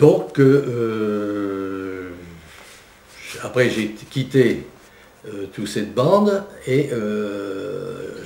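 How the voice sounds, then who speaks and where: Very slow, with long and frequent pauses, the speech swings widely in loudness and has ordinary pitch variation over noticeable background noise. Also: man. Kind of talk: interview answer.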